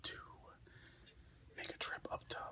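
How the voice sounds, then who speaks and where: A man is whispering against noticeable background noise. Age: middle-aged. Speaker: ASMR content creator. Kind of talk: casual talk to camera.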